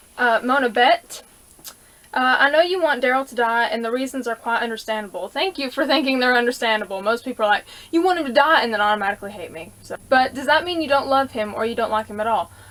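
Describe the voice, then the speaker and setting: A woman with a Southern US accent speaks at a very fast pace in a high pitch. Her intonation is lively. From US South. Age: 20s. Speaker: YouTuber answering viewer questions. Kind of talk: casual Q&A vlog. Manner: animated.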